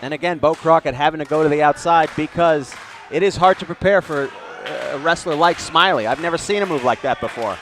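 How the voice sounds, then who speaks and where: The speech moves at a fairly quick pace with ordinary pitch variation, and noticeable background noise runs underneath. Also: man, fairly high pitch for a man. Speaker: wrestling color commentator. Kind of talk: wrestling color commentary.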